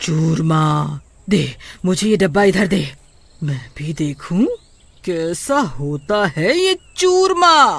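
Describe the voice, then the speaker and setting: At a very slow pace, a cartoonish character voice speaks in a middle pitch. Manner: bossy, commanding.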